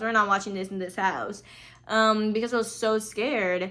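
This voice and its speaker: A woman talks in a bright, sharp, animated tone. Her pitch sits in the medium range. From Brazil. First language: Portuguese. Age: 20s. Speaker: podcast host, film student. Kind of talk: casual chat.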